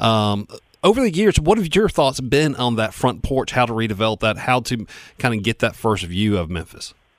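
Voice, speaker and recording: In a very clean recording with a silent background, a normal speaking voice with an American accent moves at a moderate pace with lively intonation. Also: man, medium pitch for a man. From Spartanburg, South Carolina. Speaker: radio co-host. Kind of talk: casual chat. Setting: radio studio.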